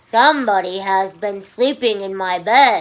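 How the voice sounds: A female-sounding put-on character voice growls at a middle pitch and a moderate pace.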